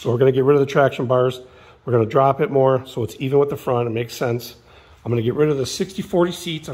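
Using a put-on character voice, a man talks very fast in a raspy tone at a medium pitch. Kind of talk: casual, enthusiastic vlog style. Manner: fast talking, quick.

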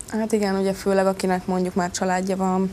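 Over light background noise, a woman speaks at a moderate pace in a dark, mellow tone. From Hungary. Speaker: wrestler. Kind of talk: interview. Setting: studio. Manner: halting. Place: studio. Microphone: lapel.

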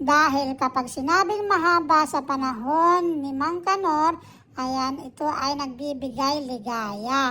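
Raising and projecting her voice, a woman talks very slowly at a high pitch with hardly any pauses, ordinary pitch variation and a bright, sharp tone. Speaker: cooking vlogger. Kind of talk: cooking vlog with comedic storytelling. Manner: stumbling over words.

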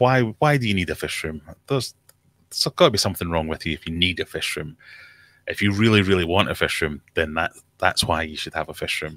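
A man's very deep, low pitch with a Scottish accent, bright, sharp tone, lively intonation and very fast pace, in a dry sound with no echo. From Scotland. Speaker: aquarium YouTuber. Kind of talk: casual chat. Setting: video call. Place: home room. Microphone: studio mic.

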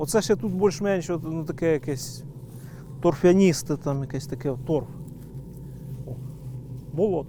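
Over noticeable background noise, a fairly high-pitched man speaks at a fairly slow pace with long, frequent pauses and ordinary pitch variation. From Polesia, northern Ukraine. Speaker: beekeeper. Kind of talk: documentary interview. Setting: outdoors.

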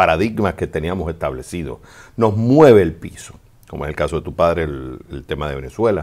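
With vocal fry, a man speaks at a very deep, low pitch. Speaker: advice show host. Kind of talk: advice answer to a listener. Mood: calm, empathetic. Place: studio. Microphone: studio mic.

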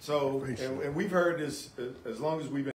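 Audible room echo and light background noise surround a man talking at a moderate pace. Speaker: police officer in community talk. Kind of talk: community panel discussion. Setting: barbershop with audience. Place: shop.

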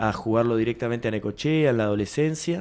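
A man at medium pitch with ordinary pitch variation over light background noise. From Buenos Aires province, Argentina. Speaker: basketball coach. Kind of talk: interview. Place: studio. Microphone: studio mic.

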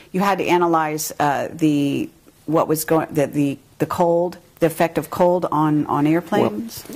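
A woman speaks at a fairly slow pace in a very deep, low voice. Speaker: interviewer. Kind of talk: interview. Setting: video interview. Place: home room.

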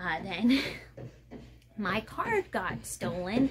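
Noticeable noise sits in the background. The speech moves at a very slow pace. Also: woman. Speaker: vlogger. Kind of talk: casual vlog monologue. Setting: at home. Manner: chatty, storytelling. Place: home room. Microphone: phone near.

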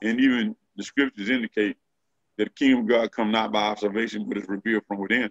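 A man speaks at a fairly quick pace with fairly even intonation, the sound dry with no echo and the background quiet. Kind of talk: discussion of scripture. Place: home room. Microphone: video call.

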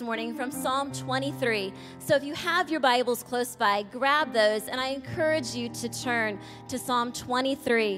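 Clear music plays behind a woman speaking at a high pitch. Her pace is fairly slow. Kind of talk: scripture reading. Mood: warm, calm. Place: church. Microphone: podium.

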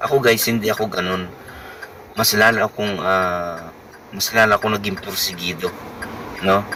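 Moderate pace and fairly even intonation from a man with a fairly low pitch, with long, frequent pauses and noticeable background noise. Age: 50s. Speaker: vlogger and family driver. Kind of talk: personal vlog talk.

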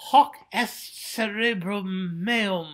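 A man puts on a character voice, high-pitched and squeaky. He keeps it squeaky and high for the whole act. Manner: mocking, playful.

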